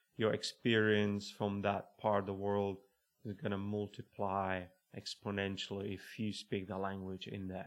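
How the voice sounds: Using little pitch movement, a man with a fairly low pitch and a fairly bright tone speaks at a moderate pace.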